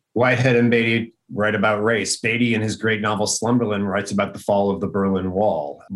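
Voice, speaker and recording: In a normal speaking voice, a man talks at a fairly quick pace with hardly any pauses, very even loudness and fairly even intonation. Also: fairly low pitch for a man. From upstate New York. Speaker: novelist and professor. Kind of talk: casual chat. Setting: video call.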